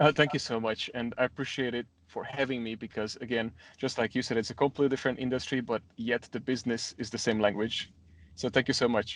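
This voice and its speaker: A man talks at a very fast pace in a medium pitch. His intonation is monotone and flat against a quiet background. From Hungary, Budapest. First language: Hungarian. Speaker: gym owner. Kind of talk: interview.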